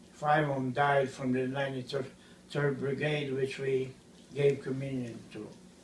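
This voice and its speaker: Audible room echo surrounds a man speaking at a fairly slow pace. His medium-pitched voice is monotone and flat. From Ukraine. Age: 70s. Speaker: priest. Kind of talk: interview.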